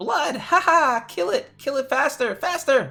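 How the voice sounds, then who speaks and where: A put-on character voice, high-pitched and shrill, at a fairly slow pace. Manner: bloodthirsty, frenzied.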